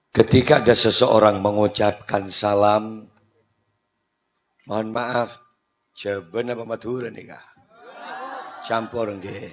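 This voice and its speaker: Speaking at a very slow pace with long, frequent pauses, a man uses a monotone, flat intonation at a fairly low pitch, his loudness swinging widely. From Madura, Indonesia. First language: Madurese (speaking Indonesian). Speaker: Islamic preacher. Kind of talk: humorous sermon.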